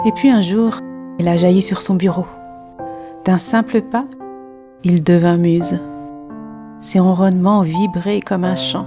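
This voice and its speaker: Soft-spoken and gentle in tone, a woman with a fairly low pitch and ordinary pitch variation speaks at a very slow pace with long, frequent pauses as music plays in the background. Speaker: watercolour artist and narrator. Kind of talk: poetic story narration. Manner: soft, gentle.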